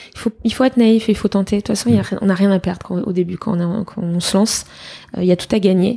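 This woman talks very fast in a dark, mellow tone at medium pitch. Her voice is somewhat breathy, with ordinary pitch variation. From France, Fontainebleau near Paris. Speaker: entrepreneur. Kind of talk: interview. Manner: energetic.

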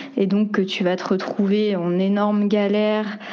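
A woman at medium pitch and very slow pace, with noticeable background noise and audible room echo. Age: 20s. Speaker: cultural project manager. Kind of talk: interview testimony. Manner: hesitant, many fillers.

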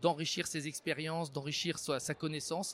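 An ordinary speaking voice at a moderate pace, dry and close with no echo, on a very clean recording with a silent background. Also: man. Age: 50s. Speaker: robotics maker. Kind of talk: interview monologue.

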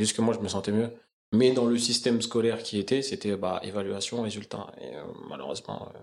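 A man talks at a fairly quick pace with vocal fry. His intonation is fairly even. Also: medium pitch for a man. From Paris suburbs, Essonne (91). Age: 20s. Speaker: sports education project manager. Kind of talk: casual interview. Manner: halting.

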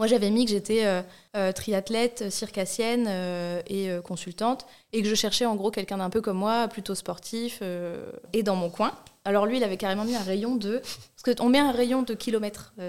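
The speaker is a woman with a fairly high voice. She keeps to a moderate pace. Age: 30s. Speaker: hypnotherapist, podcast guest. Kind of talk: casual chat. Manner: animated.

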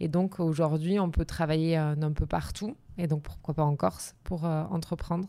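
Her very deep, low pitch and dark, mellow tone carry at a moderate pace as this woman speaks with fairly even intonation and very even loudness. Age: 30s. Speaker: business coach and entrepreneur. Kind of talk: interview testimony.

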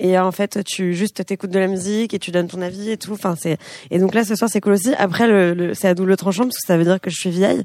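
A woman talks at a very fast pace in a medium pitch, her tone dark and mellow with fairly even intonation. The recording is very clean with a silent background and a dry, close sound with no echo. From France. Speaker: singer-songwriter. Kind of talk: casual interview. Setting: radio studio with live audience.

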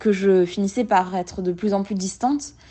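A woman's medium-pitched speech unfolds extremely slowly. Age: 20s. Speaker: person with an eating disorder sharing her story. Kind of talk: testimony. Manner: halting.

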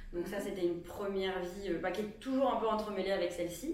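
A woman's medium-pitched voice carries audible room echo and noticeable background noise. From Aveyron, southern France. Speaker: entrepreneur, brand founder. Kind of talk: casual chat. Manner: hesitant, many fillers.

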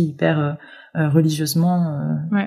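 With a dark, mellow tone and a somewhat breathy quality, a woman talks in a very deep, low pitch and a monotone, flat intonation. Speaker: set designer. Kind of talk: interview. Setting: remote recording. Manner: halting, many fillers and repetitions. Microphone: remote recording, sound quality sometimes poorer.

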